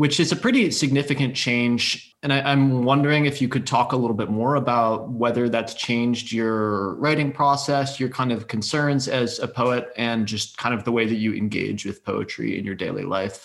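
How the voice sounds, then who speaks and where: With an unremarkable speaking voice, a man speaks at a medium pitch and moderate pace with fairly even intonation and hardly any pauses. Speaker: podcast host. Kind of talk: interview.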